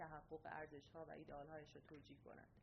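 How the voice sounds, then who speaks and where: A woman with an ordinary speaking voice, fairly low in pitch and fairly quick in pace. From Iran. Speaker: doctoral student in anthropology. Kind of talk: reading aloud a prepared essay. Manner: formal.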